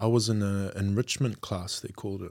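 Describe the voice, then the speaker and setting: A man speaks with a New Zealand accent on a very clean recording with a silent background. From Auckland, New Zealand. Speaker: guest. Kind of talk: casual chat.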